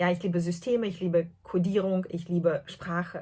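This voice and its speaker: A woman speaks at a fairly slow pace with a fairly low pitch. Her voice is somewhat breathy, with fairly even intonation. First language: not German (speaking German). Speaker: podcast host, translator and knitter. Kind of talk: casual podcast monologue. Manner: hesitant, many fillers.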